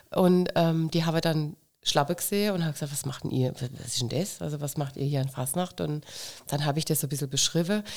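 This woman talks at a very fast pace with a very deep, low pitch and ordinary pitch variation. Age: 50s. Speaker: carnival club president. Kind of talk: casual interview.

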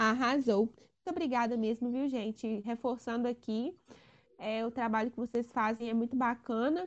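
Fairly high-pitched with fairly even intonation, a woman speaks at a moderate pace in an ordinary speaking voice. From Brazil, Timóteo, Minas Gerais. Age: 20s. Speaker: lawyer and local political candidate. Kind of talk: podcast interview.

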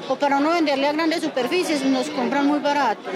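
A high-pitched woman speaking very fast with fairly even intonation over crowd noise in the background. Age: 50s. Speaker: farmer. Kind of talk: interview.

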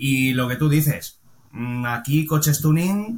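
Somewhat breathy, a man's medium-pitched voice moves at a fairly slow pace with ordinary pitch variation. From Valencia, Spain. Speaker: car body repairer and painter. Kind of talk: casual interview chat.

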